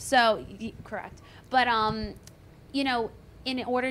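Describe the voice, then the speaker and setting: Using a normal speaking voice, a woman talks at a fairly slow pace with fairly even intonation. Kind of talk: casual chat. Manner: casual, filler-heavy.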